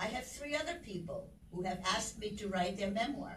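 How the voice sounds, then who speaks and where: Amid audible room echo, a woman speaks at a medium pitch and a moderate pace, her voice somewhat breathy. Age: 80s+. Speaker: motivational speaker. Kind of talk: inspirational talk.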